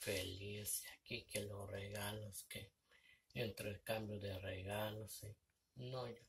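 A man's fairly low, somewhat breathy voice at a very slow pace, over light background noise. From Mexico. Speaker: vlogger. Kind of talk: casual vlog monologue. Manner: halting. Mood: reflective, somewhat sad. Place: home room. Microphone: phone near.

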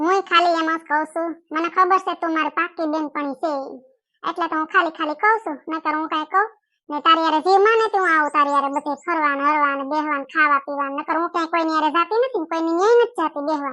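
A woman uses a put-on character voice, squeaky and extremely high in pitch. She talks at a fairly quick pace. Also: ordinary pitch variation. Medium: comedy sketch. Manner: quick, chatty.

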